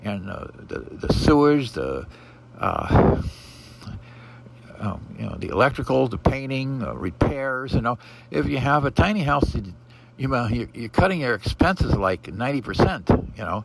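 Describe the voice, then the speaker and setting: Lively intonation and a moderate pace mark this speaker with an American accent, heard over noticeable background noise. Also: man, medium pitch for a man. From Pacific Northwest US (Portland, Oregon). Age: 70s. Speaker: vlogger. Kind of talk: casual monologue. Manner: halting, many fillers.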